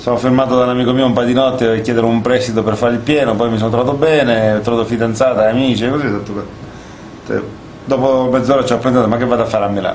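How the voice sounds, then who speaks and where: A man of medium pitch speaks at a very fast pace with monotone, flat intonation and very even loudness. Noticeable background noise and audible room echo fill the recording. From southern Italy. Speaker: comedian and radio co-host. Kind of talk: comedic casual chat.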